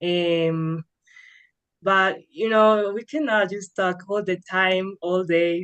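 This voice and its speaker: Very slowly and with fairly even intonation, a woman speaks in a Spanish accent at a fairly low pitch. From Colombia. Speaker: English learner. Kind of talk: interview.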